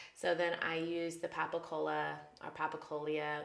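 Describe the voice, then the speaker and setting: A woman's fairly low voice, bright and sharp in tone, with audible room echo. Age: 30s. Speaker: beauty vlogger. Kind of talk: get ready with me tutorial. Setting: home bathroom. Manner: fast; casual chatty.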